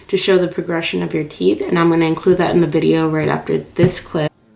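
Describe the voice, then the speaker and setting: Noticeable background noise accompanies a woman speaking at a very fast pace. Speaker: beauty and lifestyle vlogger. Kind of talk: casual video diary. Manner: casual, many fillers like um.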